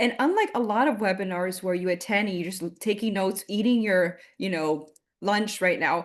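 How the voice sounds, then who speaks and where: Against a quiet background, a woman speaks in a Miami accent. Her medium pitch carries ordinary pitch variation. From Miami, Florida. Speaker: marketing consultant. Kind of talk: webinar presentation. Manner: fast; loud.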